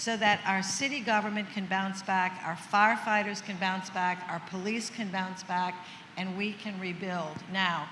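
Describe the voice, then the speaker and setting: Medium pitch from a woman with a bright, sharp tone, fairly even intonation and a fairly slow pace, plus audible room echo. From New Orleans. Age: 70s. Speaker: senator. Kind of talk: panel discussion.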